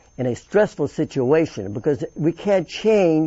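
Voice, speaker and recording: This man's fairly high voice swings very widely in pitch as he talks fairly slowly. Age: 80s+. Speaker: fitness and attitude coach. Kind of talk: interview answer.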